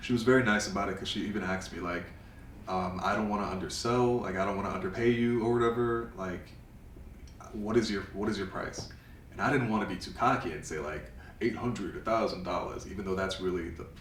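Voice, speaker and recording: Over noticeable background noise and audible room echo, a man with a New York accent talks at a very fast pace, his fairly low pitch moving with ordinary variation. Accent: New York City. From US Northeast, Bronx, New York City. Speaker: photographer. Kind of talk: interview. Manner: casual, many fillers.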